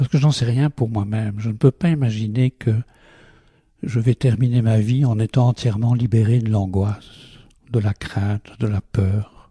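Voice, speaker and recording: A man's somewhat breathy voice carries a dark, mellow tone at a medium pitch, with a fairly slow pace and fairly even intonation. The sound is dry and close with no echo. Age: 80s+. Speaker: meditation teacher. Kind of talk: interview.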